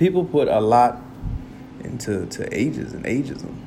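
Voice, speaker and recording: Audible room echo surrounds a man who speaks at a fairly slow pace in an animated tone. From US suburbs. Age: 30s. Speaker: podcaster. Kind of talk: casual monologue.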